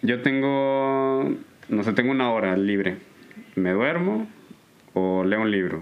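This man's intonation is lively, though his pace is fairly slow. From Nuevo León, Mexico. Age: 20s. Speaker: computer science graduate student. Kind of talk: casual chat.

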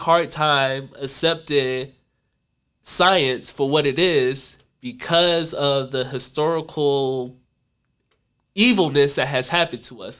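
Here is a man with an American accent and ordinary pitch variation. His tone comes across bright and sharp. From North Carolina. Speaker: neuroscientist podcast host. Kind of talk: casual chat.

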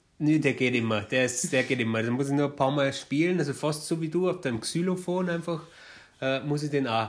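Loudness stays very even as a man talks at a fairly quick pace, with a fairly high pitch and ordinary pitch variation. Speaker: podcast co-host. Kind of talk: casual chat. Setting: studio. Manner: animated.

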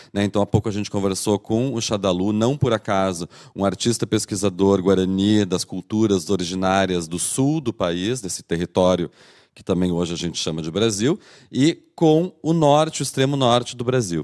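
A man speaks at a moderate pace with lively intonation and fairly low pitch. The sound is dry and close with no echo, in a very clean recording with a silent background. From Brazil, Porto Alegre. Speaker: festival director and curator. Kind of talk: casual chat. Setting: studio.

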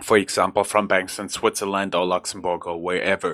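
Speaking with a German accent, a man uses a fairly low pitch, a bright, sharp tone and fairly even intonation at a moderate pace. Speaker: podcast host. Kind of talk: casual chat.

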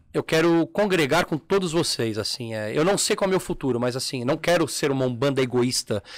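A man with a plain, everyday voice, lively intonation and a moderate pace, on a very clean recording with a silent background. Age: 40s. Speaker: umbanda practitioner and former teacher at a terreiro. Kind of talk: casual chat.

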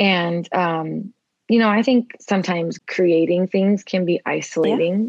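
A woman with an American accent speaks at a moderate pace and medium pitch, with fairly even intonation and very even loudness. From Los Angeles, US West Coast. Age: 20s. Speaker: church marketing leader. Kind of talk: casual interview.

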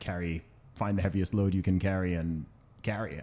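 A man's dark, mellow voice with an American accent, fairly even intonation and a moderate pace. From Saudi Arabia (UK national, American school). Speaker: rapper and podcaster. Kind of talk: interview conversation.

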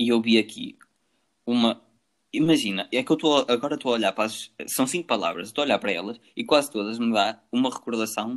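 A man with an ordinary speaking voice and medium pitch is heard on a very clean recording with a silent background. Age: 20s. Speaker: podcast host. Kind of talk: casual chat.

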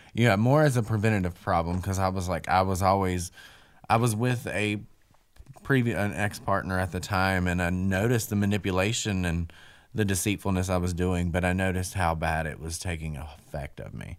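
A man with an Appalachian accent, very deep and low in pitch, talking at a fairly quick pace with ordinary pitch variation. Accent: Southern US (Appalachian). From West Virginia and North Carolina. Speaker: person in recovery. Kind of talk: casual interview.

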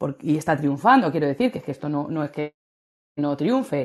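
A woman's very deep, low voice with a dark, mellow tone and a Spanish accent, over a quiet background. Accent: Peninsular Spanish. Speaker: audience participant. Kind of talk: casual chat. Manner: halting.

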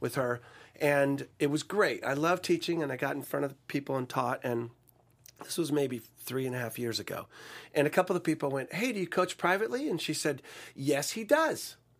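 A man with a normal speaking voice talks at a fairly quick pace and a fairly high pitch, with ordinary pitch variation, in a very clean recording with a silent background. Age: 50s. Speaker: voice-over and commercial actor. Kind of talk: casual interview chat.

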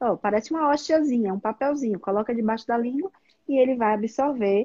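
This woman has an unremarkable speaking voice and a fairly quick pace. Her pitch varies in an ordinary way. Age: 40s. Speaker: gynecologist. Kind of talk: live stream interview. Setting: online live stream.

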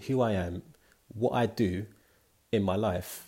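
A man's somewhat breathy voice, fairly low in pitch, with ordinary pitch variation. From London. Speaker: solo podcaster. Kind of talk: personal monologue. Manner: hesitant, filler-heavy.

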